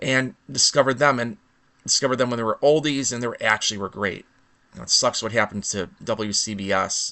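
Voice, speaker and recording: Very fast speech in a Chicago accent comes with fairly even intonation. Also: man, medium pitch for a man. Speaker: vlogger. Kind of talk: impromptu rant monologue. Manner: halting, with false starts.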